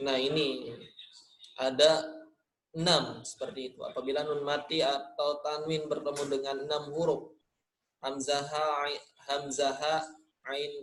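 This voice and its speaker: A man with a Sundanese accent, fairly high-pitched and monotone, speaking fairly slowly with long, frequent pauses amid audible room echo. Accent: Sundanese-accented Indonesian, nasal. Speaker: Quran recitation teacher. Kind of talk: online lesson. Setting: online class recording. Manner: casual, conversational.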